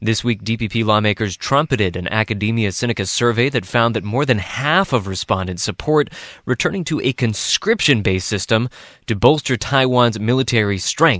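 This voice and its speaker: An unremarkable speaking voice from a man at a medium pitch and fairly quick pace, ordinary pitch variation, dry, close sound with no echo, and a quiet background. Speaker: radio news host. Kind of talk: news discussion. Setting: studio.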